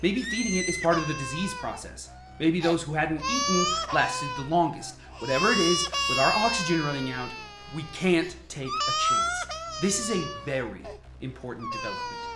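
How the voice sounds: Putting on a character voice, a woman speaks low for a woman, with very wide pitch swings, a fairly bright tone and audible room echo. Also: moderate pace.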